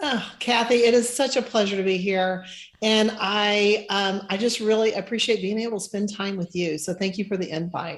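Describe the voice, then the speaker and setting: A woman's medium-pitched voice at a moderate pace, fairly even in intonation, a plain, everyday voice. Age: 60s. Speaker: financial planner. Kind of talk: interview.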